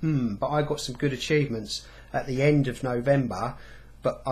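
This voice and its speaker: Speaking at a fairly quick pace, a man sounds somewhat breathy. His voice is fairly high, with ordinary pitch variation. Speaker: gaming vlogger. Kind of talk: casual vlog monologue. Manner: fast.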